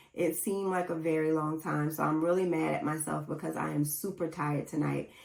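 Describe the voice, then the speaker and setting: A woman's very deep, low voice, fairly quick and monotone and flat, over noticeable background noise. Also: very even loudness. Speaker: podcast host. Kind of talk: casual solo podcast talk. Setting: home recording setup with camera and mixer. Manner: low-energy, not chipper.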